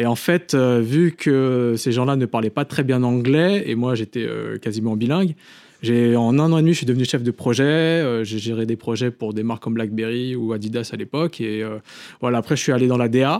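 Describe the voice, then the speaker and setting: An ordinary speaking voice from a man at medium pitch, moderate pace and ordinary pitch variation, dry and close with no echo. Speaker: film director. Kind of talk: casual chat.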